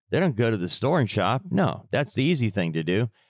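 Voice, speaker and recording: A man's voice with vocal fry comes through on a very clean recording with a silent background and a dry, close sound with no echo. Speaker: true crime podcast co-host. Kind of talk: casual true crime discussion. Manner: animated, incredulous.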